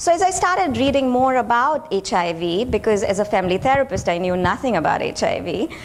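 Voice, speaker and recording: Speaking fairly quickly, a woman with a high voice swings her pitch very widely over noticeable background noise. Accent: Indian. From India. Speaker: professor and family therapist. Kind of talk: lecture.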